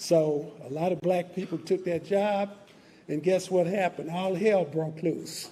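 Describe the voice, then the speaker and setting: A man's high-pitched voice with an American accent, a dark, mellow tone, fairly even intonation and a fairly slow pace. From Texas, Dallas. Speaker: civil rights organization leader. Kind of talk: commemoration speech.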